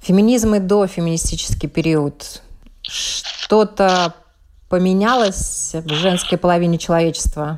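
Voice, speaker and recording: This woman has a normal speaking voice at medium pitch. She talks at a fairly slow pace with ordinary pitch variation. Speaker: radio journalist host. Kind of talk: radio interview.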